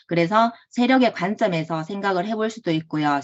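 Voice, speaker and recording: A woman speaks with a strong Gyeongsang accent. Her intonation is lively. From Gyeongsang province, South Korea. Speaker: online trading course instructor. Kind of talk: online lecture. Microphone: checking for echo.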